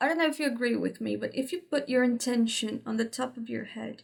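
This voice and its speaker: A woman talks with a Portuguese accent. Her pace is fairly quick. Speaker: spiritual teacher. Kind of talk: tutorial. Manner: halting.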